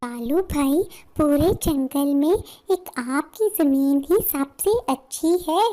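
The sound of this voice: A woman does a cartoonish character voice, high in pitch with lively intonation, at a very slow pace and very even loudness.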